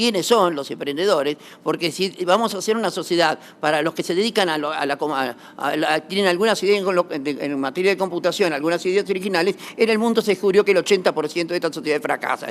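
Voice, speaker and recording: A man talks at a very fast pace. His high-pitched voice carries lively intonation. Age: 60s. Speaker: lawyer, corporate law expert. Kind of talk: conference talk. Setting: auditorium with audience. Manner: halting, many restarts and fillers.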